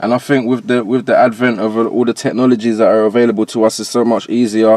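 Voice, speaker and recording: A man's medium-pitched voice at a very fast pace, flat and monotone throughout. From Jamaica. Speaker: rapper and producer. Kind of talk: casual interview chat.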